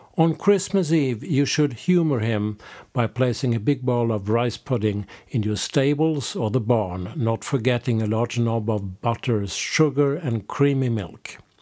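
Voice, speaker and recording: This man speaks with a Swedish accent at medium pitch in a dark, mellow tone. His intonation is lively and his pace fairly slow. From Sweden. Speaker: podcast host and folk music label co-owner. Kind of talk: scripted narration.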